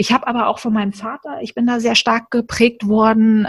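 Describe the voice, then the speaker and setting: A woman's voice, somewhat breathy, at a fairly slow pace. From Germany, Berlin. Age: 30s. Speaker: coaching team member. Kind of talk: casual interview chat.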